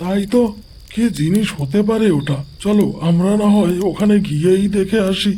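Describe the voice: A man's cartoonish character voice, high-pitched, at a moderate pace with very even loudness, over clear background noise. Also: ordinary pitch variation.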